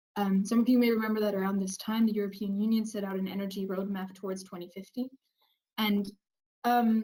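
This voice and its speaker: Somewhat breathy and dark and mellow in tone, a woman talks at a fairly high pitch. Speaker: researcher presenting project results. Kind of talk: webinar presentation. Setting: online webinar.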